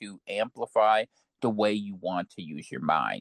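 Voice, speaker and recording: A man at a fairly slow pace with very wide pitch swings, in a dry, close sound with no echo. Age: 40s. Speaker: podcast guest, political commentator. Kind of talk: casual chat.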